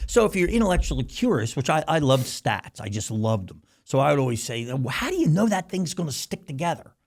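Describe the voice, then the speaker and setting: A man's fairly high voice with vocal fry, very wide pitch swings, a very fast pace and hardly any pauses. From US Northeast, Philadelphia. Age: 60s. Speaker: company CEO and founder. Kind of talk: casual interview. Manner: animated.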